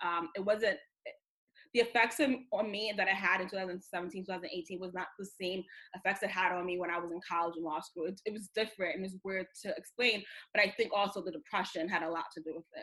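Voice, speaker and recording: A woman's normal speaking voice, medium in pitch and fairly quick, with ordinary pitch variation and big swings in loudness. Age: 20s. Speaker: founder of a sobriety community. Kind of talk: personal testimony in interview.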